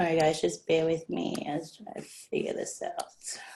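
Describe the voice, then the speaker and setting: A woman with an Australian accent at a fairly slow pace, against a quiet background. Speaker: direct sales team member. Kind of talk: online presentation. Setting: video call.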